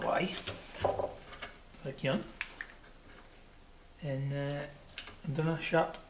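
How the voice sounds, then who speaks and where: Over noticeable background noise, someone speaks at a fairly slow pace in a Shetland accent. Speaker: woodworker, furniture maker. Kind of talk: woodworking tutorial, casual talk to camera.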